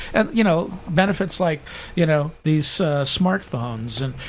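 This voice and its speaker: Pitched fairly high, a man talks at a moderate pace with lively intonation. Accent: American. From Southern California. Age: 50s. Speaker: political candidate. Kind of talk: political debate. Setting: studio. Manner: animated.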